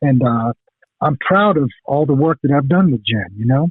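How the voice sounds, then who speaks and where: With an American accent, a man talks at a moderate pace using lively intonation. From eastern North Carolina, US South. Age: 60s. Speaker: metal guitarist. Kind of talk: interview. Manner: casual, halting with fillers.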